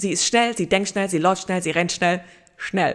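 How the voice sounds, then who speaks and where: Fairly even intonation in a plain, everyday voice from a woman at medium pitch. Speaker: podcast host. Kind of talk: inspirational solo podcast monologue.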